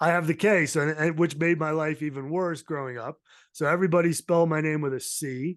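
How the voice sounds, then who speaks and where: With an American accent, a man speaks at a fairly quick pace and fairly high pitch, his intonation fairly even against a quiet background. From Massachusetts South Shore (Somerset). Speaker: mental health advocate and podcast host. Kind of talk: casual interview chat.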